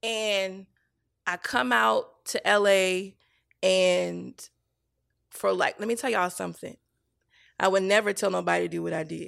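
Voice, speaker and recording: A woman with a Virginia accent speaks at a fairly slow pace with long, frequent pauses, in a very clean recording with a silent background. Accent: Southern American (Virginia). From US South, small-town Virginia. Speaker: TV showrunner and writer. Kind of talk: casual chat, personal testimony. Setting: studio. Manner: animated storytelling.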